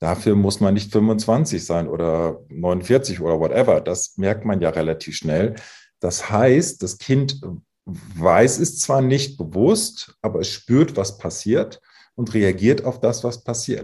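Somewhat breathy and dark, mellow in tone, this man's voice sits fairly low in pitch with lively intonation. He talks at a very slow pace against a quiet background. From northern Germany, Emsland. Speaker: psychologist. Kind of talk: interview.

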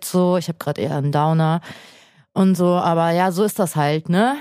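On a very clean recording with a silent background, a woman talks at a moderate pace in a dark, mellow tone, her fairly low pitch held to fairly even intonation. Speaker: podcast co-host, creative freelancer. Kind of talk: casual chat. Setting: studio.

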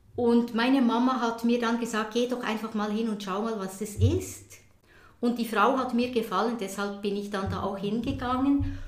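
This woman talks at a moderate pace in a fairly high pitch with monotone, flat intonation. Audible room echo and noticeable background noise fill the recording. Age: 60s. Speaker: Zen teacher. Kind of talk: interview conversation. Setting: conservatory at her home. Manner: hesitant, many fillers.

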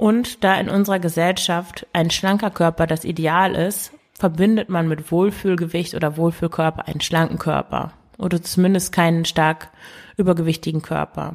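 At a moderate pace, a woman talks with fairly low pitch and fairly even intonation. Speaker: podcast host and eating coach. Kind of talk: solo podcast monologue. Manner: spontaneous with hesitations and fillers.

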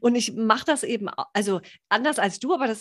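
A normal speaking voice with lively intonation at a moderate pace over a quiet background. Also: woman. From northern Germany, Baltic coast. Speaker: podcast host, health coach. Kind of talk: casual interview chat.

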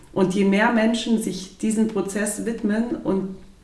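With audible room echo and noticeable background noise, a woman speaks in fairly even intonation. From southern Germany, Lake Constance area. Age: 30s. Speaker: physiotherapist. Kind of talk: casual interview. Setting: in person, recorded at her place.

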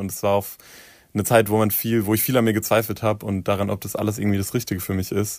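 Fairly low in pitch, a man talks in a flat monotone. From southern Hesse, Germany. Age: 20s. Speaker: pop singer. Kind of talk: interview.

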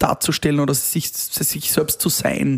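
With fairly even intonation and a fairly high pitch, the man uses an ordinary speaking voice. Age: 30s. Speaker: event host and DJ. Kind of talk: casual interview.

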